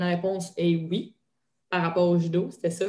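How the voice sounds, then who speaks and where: A woman talks at a moderate pace. She speaks with a Quebec accent. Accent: Québécois French. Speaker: retired judoka and strength coach. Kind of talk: interview. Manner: hesitant with fillers.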